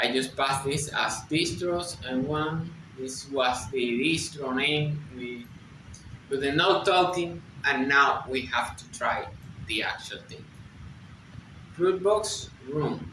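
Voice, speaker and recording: With a Spanish accent and a fairly high pitch, a man speaks at a very slow pace with long, frequent pauses and big swings in loudness, amid noticeable background noise and audible room echo. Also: ordinary pitch variation. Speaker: software developer, tech video creator. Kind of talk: tutorial. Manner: halting.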